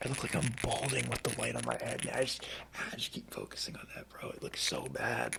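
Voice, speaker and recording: A man whispers over noticeable background noise. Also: fairly quick pace. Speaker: ASMR content creator. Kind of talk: casual talk to camera. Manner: casual, chatty.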